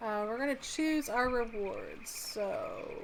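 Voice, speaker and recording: This voice has a Midwestern US accent and ordinary pitch variation. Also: woman. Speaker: gaming YouTuber. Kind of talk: gameplay commentary. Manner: casual, with frequent fillers.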